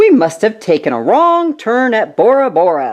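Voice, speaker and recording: A loud put-on character voice at a moderate pace, with very wide pitch swings. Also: woman. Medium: read story. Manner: loud, blustering pirate talk.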